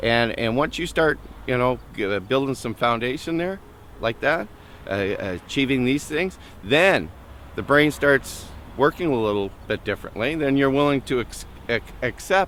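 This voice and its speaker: This man talks at a moderate pace in a medium pitch, his intonation lively. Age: 40s. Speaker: homeless man in recovery. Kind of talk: documentary interview. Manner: halting, many fillers and repetitions.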